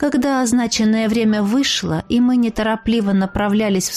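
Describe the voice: Fairly even intonation throughout some plain reading aloud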